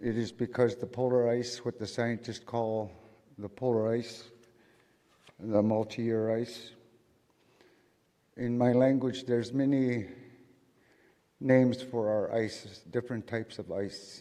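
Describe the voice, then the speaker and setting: A man with a western Alaskan accent speaks fairly slowly in a dark, mellow tone. His intonation is monotone and flat, broken by long, frequent pauses. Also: medium pitch for a man. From St. Lawrence Island, Alaska. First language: Siberian Yupik. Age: 50s. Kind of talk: speech to a conference audience.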